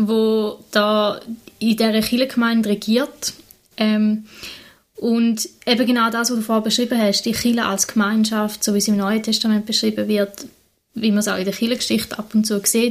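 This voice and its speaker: Her pitch fairly high and her intonation monotone and flat, a woman speaks at a moderate pace. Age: 20s. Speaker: vicar (trainee pastor), podcast co-host. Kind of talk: casual conversation.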